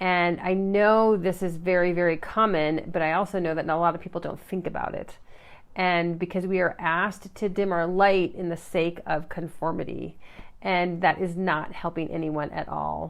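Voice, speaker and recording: Over a quiet background, a woman speaks at a moderate pace in a fairly low pitch with monotone, flat intonation. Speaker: life coach / motivational live streamer. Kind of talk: live stream talk to viewers. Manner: quiet, not naturally loud; halting, many fillers.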